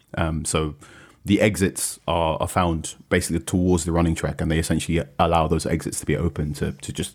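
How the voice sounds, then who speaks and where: A man's very deep, low voice with a British accent, at a fairly quick pace and with fairly even intonation. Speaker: football journalist. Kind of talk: casual chat. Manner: hesitant, with frequent fillers and repeats.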